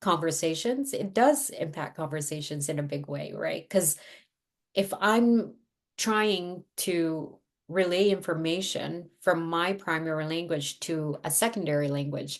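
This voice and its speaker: A speaker with a Filipino accent talks at a fairly slow pace with ordinary pitch variation. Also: woman, fairly low pitch for a woman. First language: Tagalog. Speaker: therapist. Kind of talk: interview.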